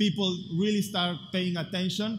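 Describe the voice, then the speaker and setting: Audible room echo surrounds a voice with an Argentine accent, fairly even intonation and a moderate pace. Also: man. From Buenos Aires, Argentina. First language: Spanish. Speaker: tech activist speaker. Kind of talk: conference talk.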